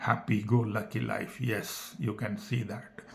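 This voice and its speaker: Somewhat breathy and in an Indian accent, the voice moves at a fairly slow pace with monotone, flat intonation and audible room echo. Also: man. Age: 60s. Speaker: health talk vlogger, retired engineer. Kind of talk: personal talk to camera. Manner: halting.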